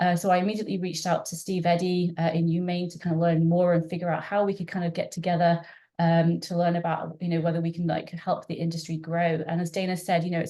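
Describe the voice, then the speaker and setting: A woman speaks at a very fast pace in a fairly low, somewhat breathy voice with a dark, mellow tone, monotone, flat intonation and a slight British accent. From UK. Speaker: marine scientist. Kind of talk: webinar presentation. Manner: halting, many fillers.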